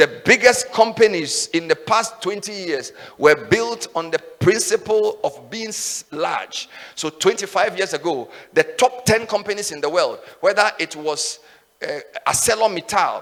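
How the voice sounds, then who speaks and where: A man shouts in a high, animated voice with lively intonation and big swings in loudness, at a fairly slow pace over noticeable background noise. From Ghana, Volta region. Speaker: radio and TV host, conference speaker. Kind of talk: motivational speech. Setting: stage with audience. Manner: loud, shouting.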